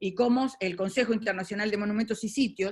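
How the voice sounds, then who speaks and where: Somewhat breathy, a woman speaks in a Uruguayan accent. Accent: Rioplatense Spanish (Uruguay). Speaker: moderator. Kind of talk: webinar moderation. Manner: fast.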